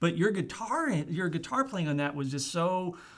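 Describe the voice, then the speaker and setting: A man with a normal speaking voice talks at a moderate pace and fairly high pitch, with lively intonation. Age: 60s. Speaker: podcast host. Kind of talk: casual interview chat. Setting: studio.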